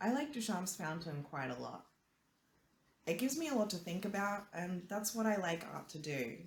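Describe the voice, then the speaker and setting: A woman speaks at a medium pitch and a moderate pace. Her voice is somewhat breathy, with very wide pitch swings. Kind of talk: casual talk to camera.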